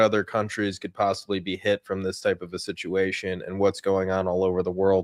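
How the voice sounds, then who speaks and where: A man speaks at a fairly quick pace in a plain, everyday voice, his pitch fairly low. The recording is very clean and dry, close, with no echo and a silent background. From United States. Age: 40s. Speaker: finance show host. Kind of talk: casual interview.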